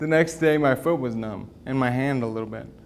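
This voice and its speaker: Mumbling, a man talks at a fairly quick pace. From US West (moved from Wyoming at ten). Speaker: financial advisor and MS patient speaker. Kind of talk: talk to a patient group. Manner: casual, halting.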